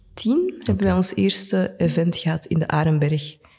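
A woman speaks with lively intonation in a fairly low, somewhat breathy voice with a dark, mellow tone. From Antwerp, Belgium. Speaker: cultural sector organiser. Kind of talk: casual interview.

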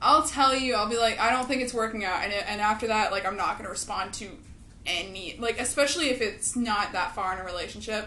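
There is noticeable background noise as a woman speaks. She talks at a very fast pace in a fairly high pitch. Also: ordinary pitch variation. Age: 20s. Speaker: podcast co-host. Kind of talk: casual chat.

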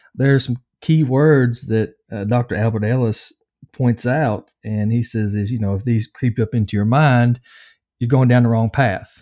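A man's dark, mellow, medium-pitched voice with a slight Southern US accent, fairly even intonation and a moderate pace. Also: dry, close sound with no echo, very clean recording, silent background. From US South, Nashville, Tennessee. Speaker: anger management coach and addiction counselor. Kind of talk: interview conversation. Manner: hesitant, many filler words.

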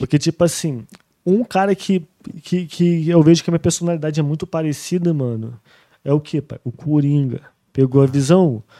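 A man with a fairly high pitch speaks in a dark, mellow tone. The recording is very clean with a silent background, dry and close with no echo. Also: ordinary pitch variation, moderate pace. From Brazil, Rio de Janeiro state (Rio and Barra do Piraí). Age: 30s. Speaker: trap musician. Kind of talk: casual chat.

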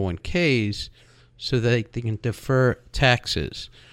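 A man talks in an ordinary speaking voice at a medium pitch with lively intonation. The recording is very clean, with a silent background. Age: 60s. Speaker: radio host and insurance wholesaler. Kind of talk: radio talk show monologue.

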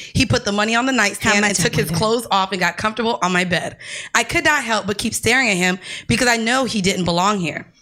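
Against noticeable background noise, a woman with an American accent talks at a very fast pace and fairly high pitch. Her loudness stays very even, and her pitch varies in an ordinary way. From Florida. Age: 20s. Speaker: podcast co-host. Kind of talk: casual chat. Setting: studio.

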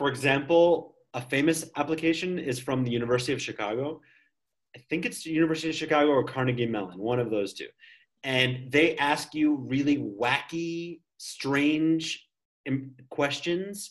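With an American accent, a man talks at a moderate pace in a fairly high pitch, with ordinary pitch variation and long, frequent pauses. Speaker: English teacher, podcast co-host. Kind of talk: casual chat.

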